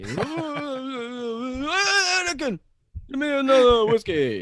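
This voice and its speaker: A man's put-on character voice, extremely high in pitch, at a very slow pace. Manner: slurring, demanding.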